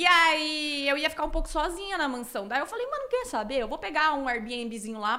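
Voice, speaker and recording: A woman speaks in a raised, projected voice at high pitch. Her pitch swings very widely. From Cuiabá, Mato Grosso, Brazil. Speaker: streamer. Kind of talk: casual interview.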